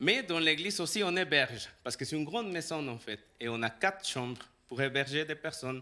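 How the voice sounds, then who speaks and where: Speaking at a fairly quick pace with lively intonation and a Salvadoran accent, a man with a fairly high, bright, sharp voice comes through on a very clean recording with a silent background. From El Salvador. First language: Spanish (speaking French). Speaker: pastor. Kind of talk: sermon. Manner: halting.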